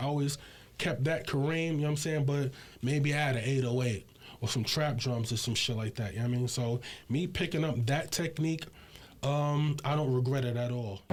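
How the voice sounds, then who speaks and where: Somewhat breathy, a man talks at a fairly high pitch and a fairly quick pace. His loudness stays very even, and his pitch variation is ordinary. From Brooklyn, New York (Bed-Stuy, Fort Greene). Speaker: hip hop producer. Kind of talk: casual interview.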